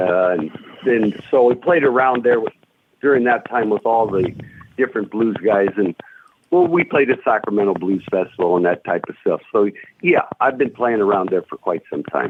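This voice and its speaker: A man talks with lively intonation, keeping a moderate pace and a medium pitch. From US West Coast (Stockton, California). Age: 60s. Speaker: blues guitarist. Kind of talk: radio interview. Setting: phone call. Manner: halting, many fillers.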